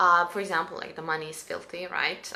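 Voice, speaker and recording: A woman with a Serbian accent has a bright, sharp tone and a fairly low pitch, with audible room echo around her. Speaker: spiritual coach. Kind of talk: live stream guidance talk. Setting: live stream. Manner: halting, many fillers.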